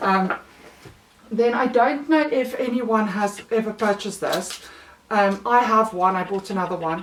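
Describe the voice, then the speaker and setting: Speaking at a fairly slow pace in a South African accent, a woman uses a fairly high pitch with ordinary pitch variation. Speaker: mother of three, haul vlogger. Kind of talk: casual talk to camera.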